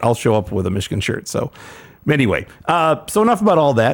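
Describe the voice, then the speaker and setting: Vocal fry runs through this man's fairly high-pitched voice. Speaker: podcast host. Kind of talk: casual chat.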